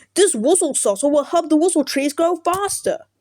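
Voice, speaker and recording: Using a put-on character voice with an English accent, a woman speaks at a moderate pace. Her pitch is extremely high. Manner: nerdy.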